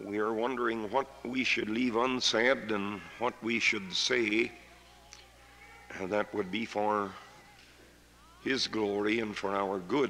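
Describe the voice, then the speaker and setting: Over noticeable background noise, a man talks at a very slow pace with long, frequent pauses. His pitch is fairly low and his intonation fairly even. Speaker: preacher. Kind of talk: sermon.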